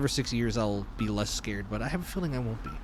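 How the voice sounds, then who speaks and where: This is a man talking. There is audible room echo around his voice. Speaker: streamer. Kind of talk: let's play commentary.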